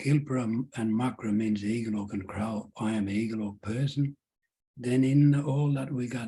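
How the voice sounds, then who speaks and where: A man speaks in a dark, mellow, somewhat breathy voice with fairly even intonation. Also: medium pitch for a man, moderate pace. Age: 70s. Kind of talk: Q&A at public lecture.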